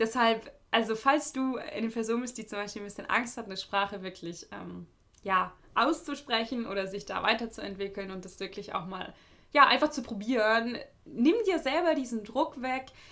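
Woman with a fairly high pitch and a bright, sharp tone, lively intonation, big swings in loudness, moderate pace. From Germany. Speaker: podcast host. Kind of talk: solo podcast monologue, advice. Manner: casual, many filler sounds.

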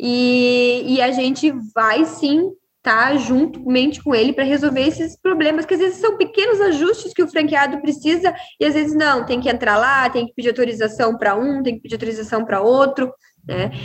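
Her pitch high and her intonation lively, a woman talks at a moderate pace. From southern Brazil, Rio Grande do Sul (Uruguaiana). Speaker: pizzeria franchise founder. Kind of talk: interview.

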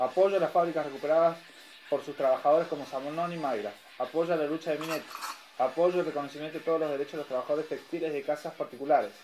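Very fast, fairly high-pitched male voice with fairly even intonation over noticeable background noise. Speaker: community radio host. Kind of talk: news reading.

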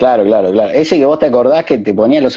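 A man with an Argentine accent, medium-pitched, at a very fast pace. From Argentina, Santa Fe province. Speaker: DJ and interview host. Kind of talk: casual chat. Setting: video call.

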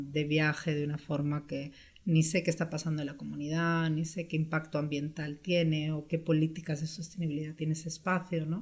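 At a fairly quick pace, a woman speaks in a very deep, low, somewhat breathy voice with monotone, flat intonation. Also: very clean recording, silent background. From Spain (born in Brazil, moved at 6). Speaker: travel entrepreneur. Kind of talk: interview.

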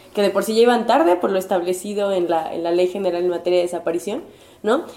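A woman speaks at a medium pitch with fairly even intonation. Noticeable background noise can be heard. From Puebla, Mexico. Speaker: graduate student and human rights advocate. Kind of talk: interview.

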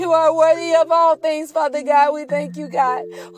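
An animated, playful tone from a woman with a high pitch at a moderate pace, noticeable background noise behind her. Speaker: podcaster. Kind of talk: fervent prayer. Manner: pleading, earnest, repeating 'God' rhythmically; animated, sassy, playful.

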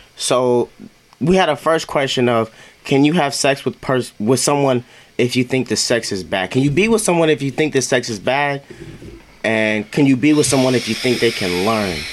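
Speaking at a moderate pace, a man uses a medium pitch. His intonation is lively. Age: 20s. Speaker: podcast guest, high school friend. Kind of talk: casual group chat.

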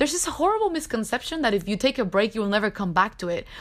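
Speaking in a Spanish accent, a woman sounds animated, her voice fairly high-pitched. Her intonation is lively. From Cuba. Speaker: podcast host. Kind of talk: personal monologue.

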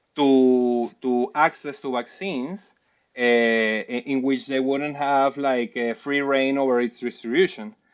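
A man's medium-pitched voice with a Spanish accent and ordinary pitch variation. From Venezuela (Caracas, Puerto Ordaz). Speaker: PhD student in public policy. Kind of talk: interview on policy. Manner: halting, many repeated words and fillers.

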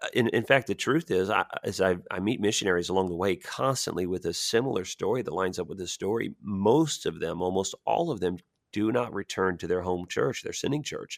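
A man with an American accent, a plain, everyday voice, talks at a fairly quick pace with hardly any pauses, fairly low in pitch with lively intonation, recorded dry and close with no echo on a very clean recording with a silent background. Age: 40s. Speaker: missionary, pastor. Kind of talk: interview conversation. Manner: repetitive, stumbling starts.

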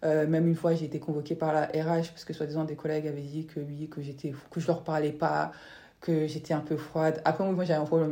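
A woman with a very deep, low pitch, a dark, mellow tone, big swings in loudness and a fairly quick pace. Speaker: podcast host. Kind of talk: casual chat. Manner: curt, flat delivery.

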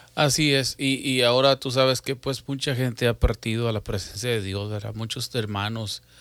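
A man at medium pitch and moderate pace, an ordinary speaking voice with fairly even intonation, on a very clean recording with a silent background. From Mexico, Matamoros, Tamaulipas. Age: 40s. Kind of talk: religious talk show chat.

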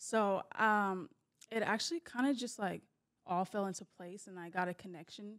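With loudness rising and falling sharply, a plain, everyday voice keeps an even tempo and normal pitch movement. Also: woman, medium pitch for a woman. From US West Coast, Bay Area, Northern California. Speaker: film costumer. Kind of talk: casual chat.

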